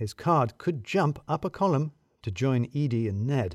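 A man's slightly mellow voice comes through on a very clean recording with a silent background.

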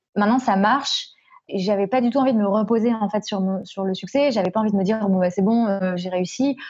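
A woman's somewhat breathy voice at medium pitch, dark and mellow in tone, with fairly even intonation and a fairly quick pace. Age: 20s. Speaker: podcast creator. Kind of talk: interview. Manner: hesitant, many fillers.

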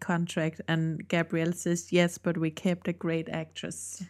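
In a very clean recording with a silent background, a woman with a Danish accent speaks at a fairly slow pace in a monotone, flat way. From Denmark. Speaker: podcast co-host. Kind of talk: casual chat.

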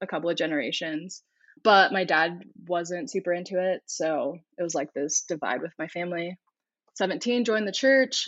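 A plain, everyday voice with an American accent. The pitch moves in an ordinary way at a moderate pace. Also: woman. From California, US (Corona). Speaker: therapist. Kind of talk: interview.

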